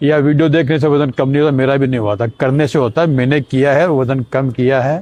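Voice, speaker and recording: In an ordinary speaking voice, a man talks at a moderate pace with a medium pitch, ordinary pitch variation and a quiet background. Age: 60s. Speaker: vlogger sharing weight loss journey. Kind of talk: casual vlog monologue.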